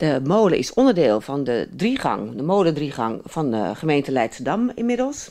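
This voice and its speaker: A moderate pace with hardly any pauses. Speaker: local TV interviewer. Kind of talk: interview question.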